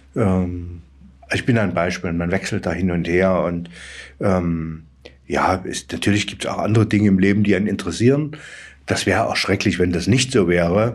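Pitched very deep and low, a man talks at a moderate pace with ordinary pitch variation. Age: 60s. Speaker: head of a regional aid organisation. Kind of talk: interview. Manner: halting.

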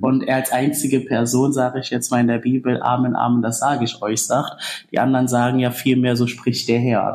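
A man at a medium pitch and a moderate pace. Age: 20s. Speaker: student pilgrim. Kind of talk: casual interview. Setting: pilgrim centre, indoors.

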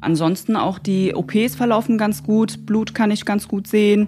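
A slightly breathy female voice at a middle pitch. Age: 20s. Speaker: dental assistant trainee. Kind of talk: interview testimony.

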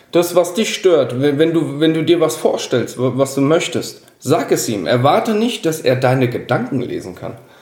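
A man with a fairly high voice speaks fairly slowly, his intonation lively. Noticeable background noise and audible room echo surround him. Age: 30s. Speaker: podcast guest. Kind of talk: casual chat.

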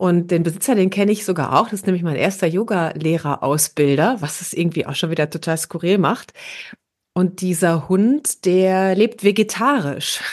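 The voice is an unremarkable speaking voice at a moderate pace. Pitch varies in an ordinary way against a quiet background. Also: woman, medium pitch for a woman. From Ruhr area, Germany (Herne). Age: 40s. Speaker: podcast co-host. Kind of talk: casual chat.

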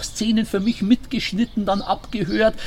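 A man talks in a Bavarian accent, his pitch high. He keeps a moderate pace over noticeable background noise. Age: 60s. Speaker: sports radio commentator and newspaper editor. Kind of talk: casual interview. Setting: rooftop terrace, in person.

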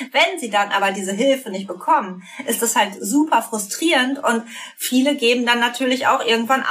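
A woman with lively intonation speaks over noticeable background noise. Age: 30s. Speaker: psychotherapist. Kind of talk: interview.

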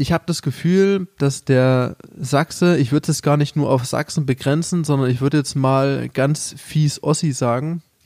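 Here a man speaks at a fairly high pitch with fairly even intonation. His tone is dark and mellow, and the sound is dry and close with no echo. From Saxony, eastern Germany. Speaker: podcast host. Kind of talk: casual chat.

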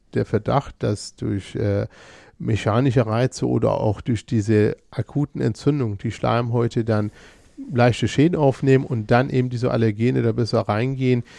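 A man's dark, mellow tone at a medium pitch carries ordinary pitch variation and a moderate pace. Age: 40s. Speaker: ENT physician and allergist. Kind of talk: expert interview. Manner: halting, many fillers and repetitions.

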